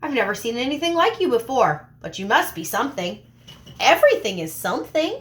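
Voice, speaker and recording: A woman puts on a character voice, high-pitched with very wide pitch swings. She goes at a fairly quick pace. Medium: read story. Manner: friendly, chatty.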